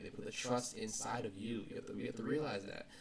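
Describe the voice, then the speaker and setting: The speaker talks at a fairly quick pace with a somewhat breathy sound and ordinary variation in pitch. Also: man. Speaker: vlogger. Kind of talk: casual motivational vlog talk. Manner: halting, repeats words. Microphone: poor audio quality.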